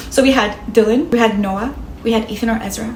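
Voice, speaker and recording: A woman with a slight non-native accent and a fairly high pitch is heard with audible room echo and noticeable background noise. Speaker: content creator. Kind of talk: casual vlog storytelling. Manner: fast when nervous, laughs a lot; calm.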